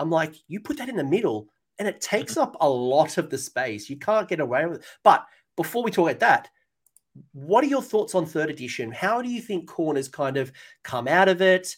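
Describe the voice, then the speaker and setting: On a very clean recording with a silent background, a man with an Australian accent talks at a fairly quick pace in a high voice with very wide pitch swings. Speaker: tabletop wargaming channel host. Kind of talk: casual chat. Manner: animated.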